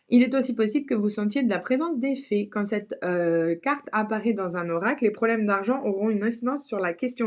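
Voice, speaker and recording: A woman's fairly high voice, fairly quick, with lively intonation. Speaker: tarot reader. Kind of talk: tarot reading with card text read aloud. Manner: fast; hesitant with many fillers.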